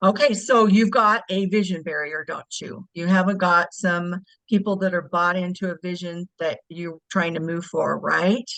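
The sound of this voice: The tone is fairly bright, the pace moderate and the intonation fairly even. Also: woman, fairly low pitch for a woman.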